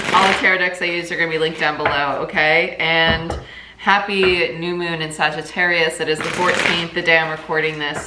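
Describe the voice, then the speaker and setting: A woman's fairly low voice at a fairly quick pace, with audible room echo and noticeable background noise. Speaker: tarot reader. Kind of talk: tarot reading monologue. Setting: at home in kitchen. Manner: fast.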